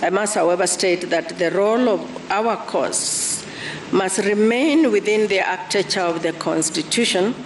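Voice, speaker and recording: Against noticeable background noise, a woman speaks at a fairly slow pace with ordinary pitch variation. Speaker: deputy chief justice. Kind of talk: court judgment reading. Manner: soft-spoken.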